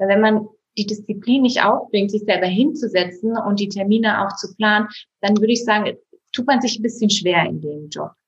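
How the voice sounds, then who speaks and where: A woman's fairly high, somewhat breathy voice. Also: ordinary pitch variation, moderate pace. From Bavaria, Berchtesgadener Land. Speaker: insurance agent. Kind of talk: interview.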